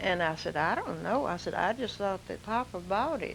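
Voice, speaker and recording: With a Louisiana accent, a woman speaks at a medium pitch with ordinary pitch variation. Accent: Southern US (Louisiana). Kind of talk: oral history reminiscence. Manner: slow, hesitant.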